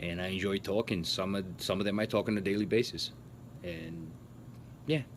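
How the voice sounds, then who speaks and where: A man with a Portuguese accent speaks at a moderate pace. His pitch sits fairly low. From Portugal, moved to US at twelve. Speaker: YouTuber. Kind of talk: Q&A vlog. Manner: casual, hesitant with fillers.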